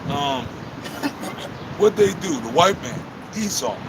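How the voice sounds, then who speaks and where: A man with a high-pitched voice over noticeable background noise and audible room echo. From Texas. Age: 50s. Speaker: street preacher. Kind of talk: street preaching discussion.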